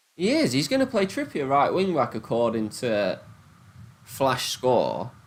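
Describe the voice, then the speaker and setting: A man speaks with a strong Nottingham accent. His pace is fairly slow and his loudness very even. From England, Nottingham. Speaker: gambling livestreamer. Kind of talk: casual livestream chat. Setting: live stream on laptop. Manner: animated.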